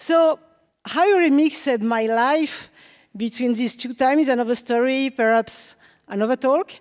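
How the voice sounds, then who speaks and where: A woman's high voice in a French accent, with ordinary pitch variation at a moderate pace. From France. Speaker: developer relations engineer, conference speaker. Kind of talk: conference talk. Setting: stage with audience.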